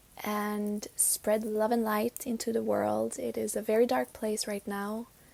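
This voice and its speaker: With a non-native accent, a woman speaks fairly slowly at a fairly high pitch and with fairly even intonation. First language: not English. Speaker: spiritual podcast host. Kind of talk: casual chat. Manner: hesitant, with fillers.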